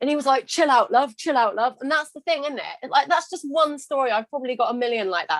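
A woman's high voice with a British accent, very fast, with hardly any pauses and lively intonation. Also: dry, close sound with no echo. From England. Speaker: confidence coach and podcast host. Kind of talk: casual interview conversation.

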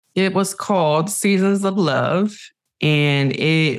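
A woman talks at a very slow pace with an American accent. Her pitch variation is ordinary. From Cleveland, Ohio. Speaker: TV director. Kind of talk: interview. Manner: animated.

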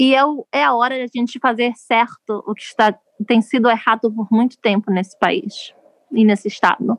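A woman uses a normal speaking voice, fairly high with ordinary pitch variation, at a moderate pace in a dry, close sound with no echo. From Brazil, Rio de Janeiro. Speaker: politician's spouse, activist. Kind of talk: interview storytelling.

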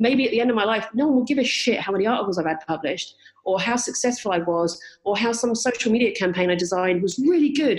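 Very fast and lively in intonation, a woman talks at a fairly high pitch with very even loudness. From southern England. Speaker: travel writer. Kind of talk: casual interview chat. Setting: podcast interview.

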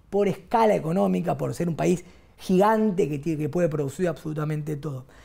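This man has a high voice. His pitch rises and falls in an ordinary way. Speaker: economist. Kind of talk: interview.

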